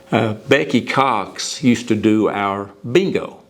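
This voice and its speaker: A man speaks over noticeable background noise. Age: 70s. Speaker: retiring sales coordinator at machinery dealer. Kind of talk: interview reflection.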